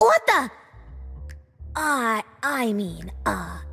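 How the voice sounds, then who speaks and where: A raspy, put-on character voice from a woman, with music in the background. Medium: machinima. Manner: pompous, smooth.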